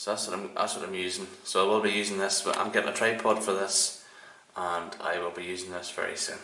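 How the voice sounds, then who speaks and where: Over noticeable background noise and audible room echo, a man with a Northern Irish accent talks very fast in a monotone, flat intonation. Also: fairly low pitch for a man. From Northern Ireland. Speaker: shaving video creator. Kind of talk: casual tutorial monologue.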